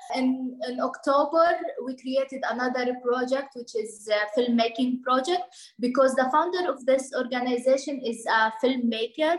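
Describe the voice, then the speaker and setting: A woman with a high pitch and an Arabic accent, amid noticeable background noise. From Lebanon, Bekaa Valley (Palestinian refugee). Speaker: NGO project manager, refugee. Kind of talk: interview. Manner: halting, with fillers and repetitions.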